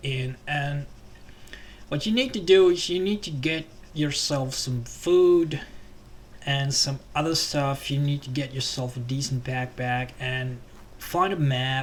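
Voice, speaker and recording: A man with a Finnish accent speaks at a medium pitch and a very slow pace. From Finland. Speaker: gaming YouTuber. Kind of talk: game tutorial commentary. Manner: hesitant, many fillers.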